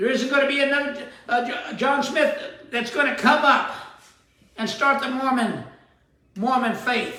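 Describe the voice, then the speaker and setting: A man uses a raised, projected voice at an extremely high pitch and fairly even intonation. His pace is fairly slow with long, frequent pauses, and room echo is audible. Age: 70s. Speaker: spiritual teacher and show host. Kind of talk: sermon-style talk show monologue. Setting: at daughter's home.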